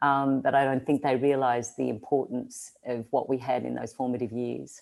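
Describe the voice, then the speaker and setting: Speech at a moderate pace in an Australian accent. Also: woman. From Australia, rural. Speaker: social-change agent, entrepreneur. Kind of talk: interview. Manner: halting, many fillers.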